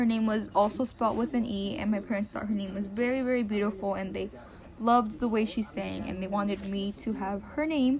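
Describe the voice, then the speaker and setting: A woman at medium pitch, fairly quick in pace, with ordinary pitch variation. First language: Spanish. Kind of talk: personal narrative.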